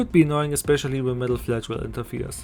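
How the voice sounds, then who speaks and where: A man speaks in a German accent. Music plays in the background. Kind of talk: gaming video essay narration.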